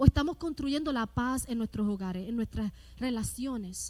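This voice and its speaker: A loud woman's high voice with a dark, mellow tone, lively intonation and a fairly slow pace. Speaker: pastor. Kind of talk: sermon. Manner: rises in volume, loud.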